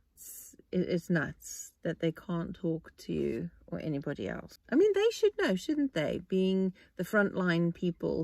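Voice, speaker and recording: A woman's voice in a South African accent, with a dry, close sound and no echo. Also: very clean recording, silent background. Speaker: podcast host. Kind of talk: casual monologue. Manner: halting.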